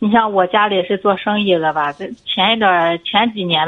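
Here a woman talks at a moderate pace. Her intonation stays fairly even. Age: 30s. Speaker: caller. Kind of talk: call-in advice conversation. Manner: halting.

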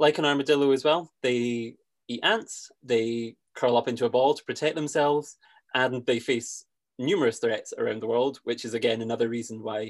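A man in a Scottish accent at a fairly quick pace. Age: 20s. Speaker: conservationist and podcast host. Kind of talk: casual interview chat.

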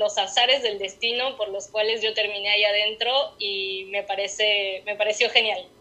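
A woman speaks in a normal speaking voice at a fairly high pitch. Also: hardly any pauses. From Mexico City. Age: 30s. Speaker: writer. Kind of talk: interview. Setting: remote call.

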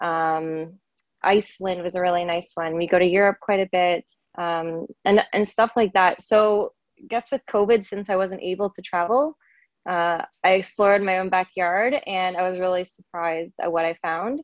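An ordinary speaking voice from a woman, medium-pitched with a Canadian accent, fairly even intonation, a moderate pace and big swings in loudness. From Canada, rural Ontario. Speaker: travel blogger. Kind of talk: casual interview. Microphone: dodgy audio from bad internet connection.

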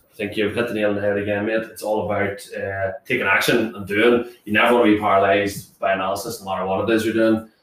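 A man with a fairly low pitch talks at a very fast pace. His intonation is monotone and flat. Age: 20s. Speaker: podcast co-host. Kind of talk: casual chat.

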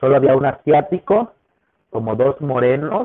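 With a Mexican accent, a man talks at a moderate pace in a medium pitch, his intonation lively. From Mexico. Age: 30s. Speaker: business owner. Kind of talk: interview. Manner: animated.

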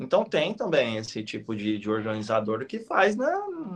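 This is a man speaking. His pace is moderate. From interior of São Paulo state, Brazil (Penápolis). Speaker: retired elite marathon runner, running coach. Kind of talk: live-stream interview. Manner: talkative, long chained sentences; hesitant repetitions.

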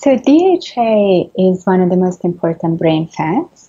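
Her voice is somewhat breathy, with medium pitch and ordinary pitch variation. The woman speaks at a fairly slow pace. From Italy. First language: Italian. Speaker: neuroscientist and author. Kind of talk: interview. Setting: video call.

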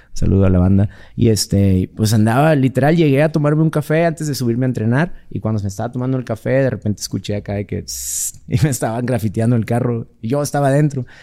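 With a dark, mellow tone and medium pitch, a man speaks at a very fast pace using ordinary pitch variation. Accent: Mexican. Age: 40s. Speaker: MMA fighter. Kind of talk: casual chat.

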